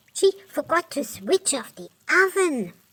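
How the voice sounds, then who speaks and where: In a cartoonish character voice, the speaker uses a high pitch with very wide pitch swings at a fairly slow pace. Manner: excitable.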